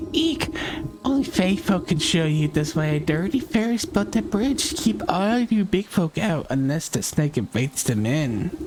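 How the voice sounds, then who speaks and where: A put-on character voice at a middle pitch moves at a moderate pace over clear background noise. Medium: game stream. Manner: giggling, taunting.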